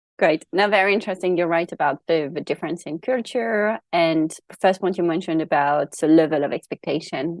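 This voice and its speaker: Over a quiet background, a woman with a fairly low pitch talks at a fairly quick pace with ordinary pitch variation, in a dry, close sound with no echo. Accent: French. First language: French. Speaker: podcast host. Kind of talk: podcast interview.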